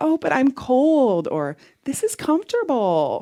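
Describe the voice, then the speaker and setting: A female-sounding, put-on character voice, high-pitched and whiny, speaks at a fairly slow pace on a very clean recording with a silent background. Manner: whiny, complaining.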